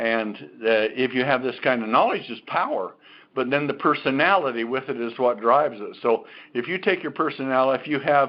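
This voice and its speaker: Here a man speaks at a medium pitch. His pace is fairly quick and his pitch varies in an ordinary way. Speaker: company executive presenting health products. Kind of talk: sales pitch. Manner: animated.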